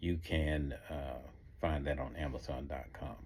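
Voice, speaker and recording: With a Southern US accent, a man speaks at a fairly slow pace in a very deep, low pitch, his fairly even intonation carrying vocal fry. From US South. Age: 60s. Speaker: author. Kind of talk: motivational talk.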